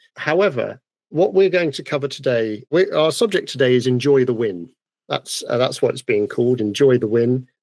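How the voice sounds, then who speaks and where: Lively intonation from a man at a medium pitch. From United Kingdom. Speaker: podcast host, woodturner. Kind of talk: casual podcast chat. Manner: fast.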